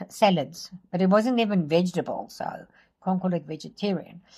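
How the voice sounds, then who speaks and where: A woman talks at a moderate pace in a somewhat breathy voice of medium pitch with ordinary pitch variation. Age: 60s. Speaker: vlogger. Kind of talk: casual vlog monologue. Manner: hesitant, many fillers.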